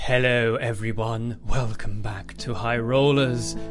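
With clear music in the background, a man uses a put-on character voice, talking at a fairly slow pace with monotone, flat intonation. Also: medium pitch for a man. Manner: spooky.

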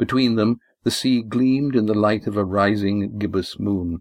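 A man's fairly low voice at a moderate pace, a normal speaking voice with ordinary pitch variation. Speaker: audiobook narrator and author. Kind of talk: dramatic narration, audiobook fiction reading. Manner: steady, measured, with character voices.

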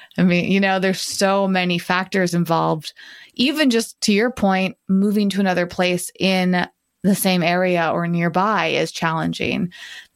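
Very clean and set against a silent background, this recording features a woman with an ordinary speaking voice. Her pitch is medium and her intonation fairly even. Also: moderate pace. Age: young. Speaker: podcast co-host. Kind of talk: casual chat.

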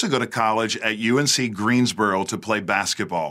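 In an American accent, a man talks at a fairly quick pace with lively intonation. His tone is bright and sharp. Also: very clean recording, silent background. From US South, Louisiana near New Orleans. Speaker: pastor. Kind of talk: interview; testimony.

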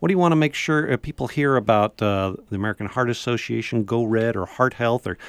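Delivered at a very fast pace, the speech has a dry, close sound with no echo on a very clean recording with a silent background. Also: man. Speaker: radio host. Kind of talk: radio interview. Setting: studio.

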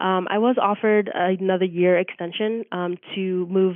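An unremarkable speaking voice: a woman with an American accent, medium pitch, fairly even intonation and a moderate pace. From Reading, Pennsylvania. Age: 20s. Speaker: former teacher abroad. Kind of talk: casual chat.

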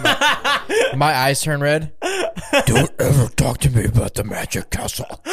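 A put-on character voice, gravelly and growling, with an angry, menacing tone, a fairly slow pace and clear background noise. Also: man, fairly high pitch for a man.

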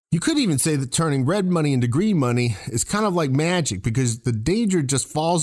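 Pitched fairly high, a man speaks at a fairly quick pace. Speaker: radio host and retirement planning specialist. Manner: fear-based rhetorical questions, emphatic and urgent.

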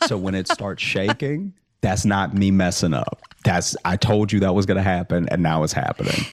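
At a moderate pace, a man speaks with a fairly low pitch and ordinary pitch variation. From Louisiana, US South. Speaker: stand-up comic and late night writer. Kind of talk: casual interview.

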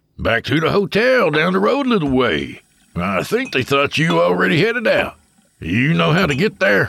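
A man's growling, gruff, put-on character voice with a Southern US accent, fairly high pitch, very even loudness and a moderate pace. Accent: Southern drawl. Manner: gruff, growling, irritated.

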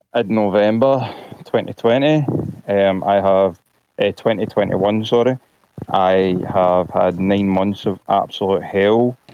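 In a Glasgow accent, a man speaks with a fairly low pitch. His pace is fairly slow and his loudness very even. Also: ordinary pitch variation. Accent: Glasgow Scottish. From Scotland. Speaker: caller, vaccine-injured patient. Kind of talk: personal testimony on a call-in show.

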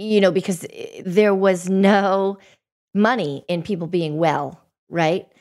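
Very slowly, a woman speaks with an American accent at a medium pitch and fairly even intonation. The recording is very clean, with a silent background. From Boston. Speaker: podcast host. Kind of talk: interview.

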